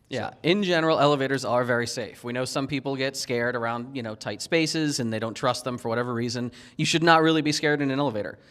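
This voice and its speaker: A man with an American accent rattles along at a very fast pace with hardly any pauses and ordinary pitch variation. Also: medium pitch for a man, very clean recording, silent background. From US Northeast, Philadelphia. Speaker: security consultant, penetration tester. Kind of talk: conference talk. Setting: stage with audience.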